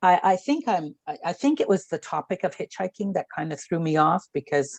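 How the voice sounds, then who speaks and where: An ordinary speaking voice from a woman, medium in pitch, fairly quick and lively in intonation, with a dry, close sound, no echo and a quiet background. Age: 60s. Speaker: book club participant. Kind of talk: book club discussion. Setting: video call.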